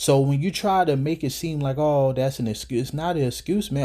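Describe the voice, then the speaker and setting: Talking at a fairly quick pace, a man has a fairly high pitch and a dark, mellow tone. His voice is somewhat breathy, with ordinary pitch variation. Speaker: religious commentator. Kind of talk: scripture commentary. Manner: breathing heavily; animated.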